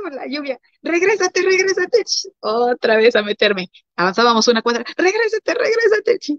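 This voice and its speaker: Very wide pitch swings color a woman's speech, delivered at a moderate pace. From Mexico. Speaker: missionary's wife. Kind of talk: interview. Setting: livestream.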